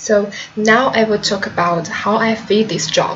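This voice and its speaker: A woman speaks very slowly with a Chinese accent and fairly even intonation. Audible room echo and noticeable background noise are present. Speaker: translation student. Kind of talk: video self-presentation. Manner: halting.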